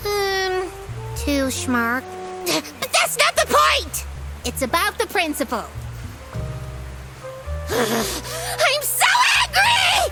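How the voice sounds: With clear music in the background, a woman uses a cartoonish character voice at an extremely high pitch, swinging very wide in pitch at a very slow pace with long, frequent pauses.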